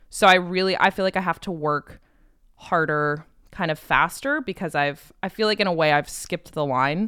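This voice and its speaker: A woman with an American accent speaks in a fairly low pitch with a bright, sharp tone, recorded very cleanly with a silent background and a dry, close sound with no echo. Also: ordinary pitch variation, moderate pace. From Connecticut. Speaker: comedian and musician. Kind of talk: casual chat.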